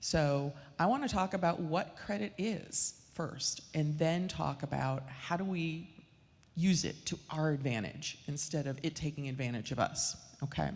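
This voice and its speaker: With ordinary pitch variation, a woman speaks at a fairly slow pace in a very deep, low voice. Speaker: mortgage lender. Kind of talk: financial seminar talk. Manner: loud.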